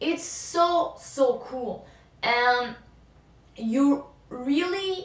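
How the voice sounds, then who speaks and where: A woman speaks with a French accent over noticeable background noise. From France. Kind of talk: casual talk to camera.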